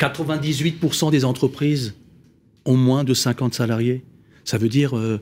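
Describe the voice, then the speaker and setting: A man with an Alsatian accent speaks at a moderate pace and medium pitch, with fairly even intonation. He leaves long, frequent pauses on a very clean recording with a silent background. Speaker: business financing company founder, panelist. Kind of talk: panel discussion.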